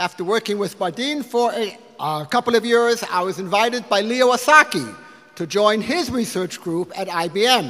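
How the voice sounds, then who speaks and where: A man with an American accent speaks at a moderate pace in a raised, projected voice, with a high pitch and lively intonation. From US Midwest, Detroit. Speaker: physics professor. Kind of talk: speech to donors at a lunch. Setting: lunch event with audience. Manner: halting at times.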